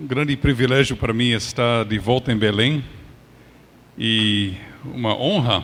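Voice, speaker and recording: Noticeable background noise sits behind a man speaking at a very slow pace. His pitch is medium, with ordinary variation. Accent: English. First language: English (speaking Portuguese). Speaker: pastor. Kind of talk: sermon.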